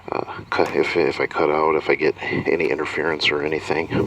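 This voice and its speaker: Moderately paced speech from a man, with noticeable noise behind it. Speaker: magician reviewing a PA system. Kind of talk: product review demo. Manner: halting, many fillers.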